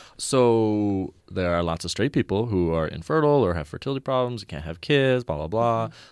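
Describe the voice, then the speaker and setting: A man's fairly low, unremarkable speaking voice at a moderate pace, with lively intonation, hardly any pauses and a quiet background. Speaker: student group leader. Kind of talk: panel interview discussion. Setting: studio.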